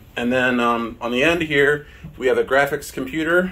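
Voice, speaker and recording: Bright and sharp in tone, a man talks at a fairly slow pace with ordinary pitch variation. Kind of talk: casual tour narration. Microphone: phone near.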